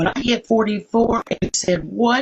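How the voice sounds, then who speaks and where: Pitch variation stays ordinary while the speaker sounds somewhat breathy. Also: woman. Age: 60s. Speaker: participant in a live social media debate. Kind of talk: casual group discussion.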